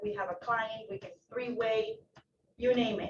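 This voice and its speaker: Speaking at a moderate pace, a woman has a Spanish accent. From Ecuador. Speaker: loan officer. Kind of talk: self-introduction at office meeting. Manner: casual, animated.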